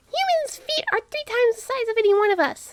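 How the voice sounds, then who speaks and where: A woman does a squeaky, put-on character voice at an extremely high pitch. She rattles along at a very fast pace. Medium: read story. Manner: blunt, skeptical.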